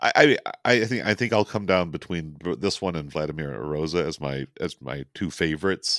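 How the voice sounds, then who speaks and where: Very deep and low, this man's voice carries vocal fry, ordinary pitch variation and a moderate pace. The recording is very clean with a silent background and a dry, close sound with no echo. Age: 60s. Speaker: film podcast host. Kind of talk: casual film discussion.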